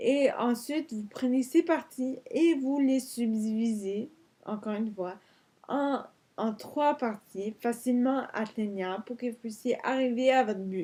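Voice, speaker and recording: At a fairly slow pace, a woman speaks with a high pitch, ordinary pitch variation and a dark, mellow tone. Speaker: vlogger. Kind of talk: vlog tutorial. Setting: in bed. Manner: halting.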